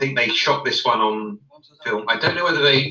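A man speaks with a British accent. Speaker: guest co-commentator. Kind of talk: casual chat.

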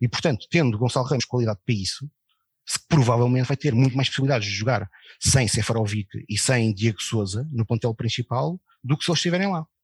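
A man with medium pitch and ordinary pitch variation talks at a very fast pace in a somewhat breathy voice, recorded very cleanly against a silent background with a dry, close sound and no echo. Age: 40s. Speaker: football club election campaigner. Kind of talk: casual chat.

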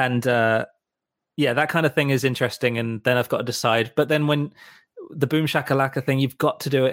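Delivered at a fairly quick pace with fairly even intonation, the speech has a dry, close sound with no echo. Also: man, medium pitch for a man. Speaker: musical director and co-host. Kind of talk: casual banter podcast. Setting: Los Angeles.

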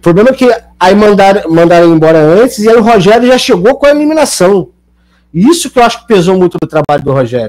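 Talking at a very fast pace, a man with a high pitch makes very wide pitch swings while his loudness stays very even. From Niterói, Rio de Janeiro state, Brazil. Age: 30s. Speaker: comedic actor. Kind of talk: casual chat.

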